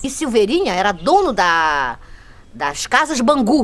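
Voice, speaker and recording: A woman is speaking. Her pitch swings very widely. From Brazil, Cabo Frio (RJ). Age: 60s. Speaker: longtime local resident. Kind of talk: documentary interview testimony. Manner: halting, with false starts.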